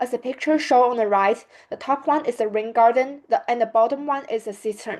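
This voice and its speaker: Speaking with a Chinese accent, a woman uses a high pitch and ordinary pitch variation. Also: fairly quick pace. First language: Mandarin Chinese. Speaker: student. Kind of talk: presentation.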